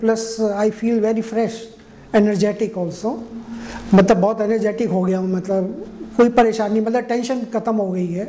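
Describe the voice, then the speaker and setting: At a fairly slow pace, a man talks in a high pitch with monotone, flat intonation. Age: 60s. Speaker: heart patient. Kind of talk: patient testimonial interview. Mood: calm, satisfied. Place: office. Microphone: lapel.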